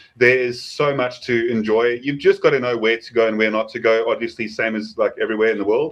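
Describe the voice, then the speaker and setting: This man talks at a very fast pace with hardly any pauses. His pitch sits at a medium level. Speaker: preparedness channel host. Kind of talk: casual chat. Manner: animated.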